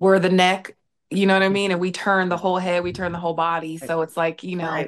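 A woman speaks at a very fast pace in a fairly low pitch. Her intonation is monotone and flat, with light background noise. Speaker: podcast guest. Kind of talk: interview answer. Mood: warm, reflective. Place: home room. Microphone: video call.

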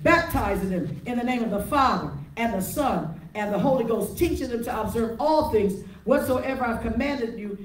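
Noticeable noise sits behind a woman's speech. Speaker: preacher. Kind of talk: sermon. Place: church. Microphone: handheld.

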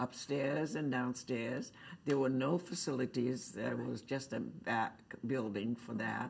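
With an American accent, a woman speaks at a fairly slow pace in a very deep, low voice with vocal fry and ordinary pitch variation. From Cape Cod, Massachusetts. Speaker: artist and quilting teacher. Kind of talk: oral history interview answer. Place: meeting room. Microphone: lapel.

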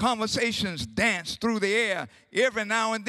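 What you hear is a natural reading voice.

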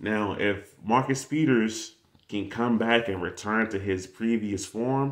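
Against a quiet background, a man uses a normal speaking voice. His pitch is fairly low. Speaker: sports fan vlogger. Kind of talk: casual sports commentary. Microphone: webcam.

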